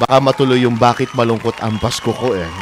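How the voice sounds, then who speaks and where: With music in the background, a man in a Filipino accent talks at a fairly quick pace in a medium pitch. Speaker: radio host. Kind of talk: radio interview, Taglish. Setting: internet radio livestream.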